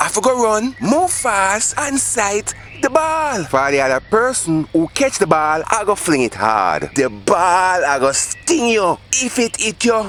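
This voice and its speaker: Speaking at a fairly slow pace with a Jamaican accent and hardly any pauses, the voice comes over music in the background. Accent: Jamaican Patois. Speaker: storyteller. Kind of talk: dramatized storytelling.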